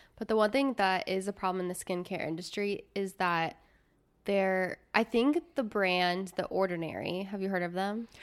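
A woman with an American accent, an ordinary speaking voice of medium pitch, a moderate pace and ordinary pitch variation, on a very clean recording with a silent background. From US Midwest. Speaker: podcast host. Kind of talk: casual chat. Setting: studio, on camera.

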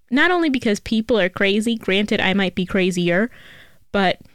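A woman's medium-pitched voice in a New York accent, ordinary pitch variation, on a very clean recording with a silent background. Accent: New York City. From New York City (Bronx area). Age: 20s. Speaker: podcast host. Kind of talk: casual solo advice talk.

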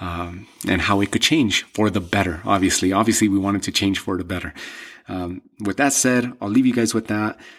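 Moderate pace, ordinary pitch variation and a fairly low male voice, on a very clean recording with a silent background. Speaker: combat sports podcast host. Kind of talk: solo commentary monologue. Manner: halting with fillers and repeats.

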